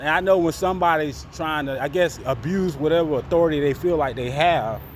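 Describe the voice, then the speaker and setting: Amid noticeable background noise, a man with an American accent speaks quickly in a high pitch, with ordinary pitch variation. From Florida. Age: 40s. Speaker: vlogger. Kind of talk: casual vlog monologue.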